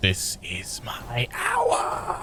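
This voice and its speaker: A man puts on a raspy character voice at a medium pitch. Loud background noise runs behind him. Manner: ominous, menacing.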